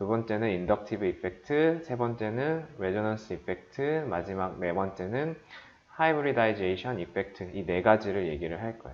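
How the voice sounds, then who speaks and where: A man at medium pitch with lively intonation. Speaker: chemistry lecturer. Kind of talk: lecture.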